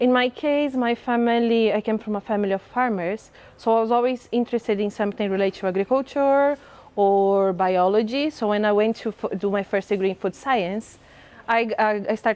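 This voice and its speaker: A woman with a Portuguese accent speaks at a fairly quick pace and fairly high pitch, with ordinary pitch variation and very even loudness. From southern Brazil, Santa Catarina. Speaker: mycology researcher. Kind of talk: interview.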